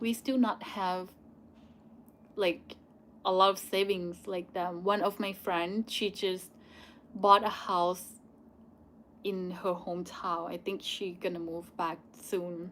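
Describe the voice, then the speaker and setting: With a Thai accent, a woman speaks at a very slow pace with fairly even intonation and long, frequent pauses. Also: medium pitch for a woman. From Thailand. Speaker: YouTuber. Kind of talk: live Q&A. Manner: halting.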